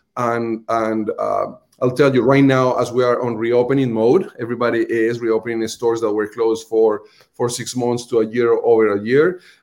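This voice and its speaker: A man with a Colombian accent at a moderate pace. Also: medium pitch for a man. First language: Spanish. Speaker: restaurant marketing executive. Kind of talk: livestream interview. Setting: video call. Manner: animated.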